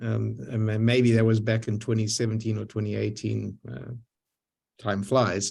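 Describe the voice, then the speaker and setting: A man's fairly low, somewhat breathy voice with fairly even intonation and a Zimbabwean accent. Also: moderate pace. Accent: foreign accent, Zimbabwean. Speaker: lifetime synagogue member, community leader. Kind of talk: panel discussion on video call. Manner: halting, many repetitions and fillers.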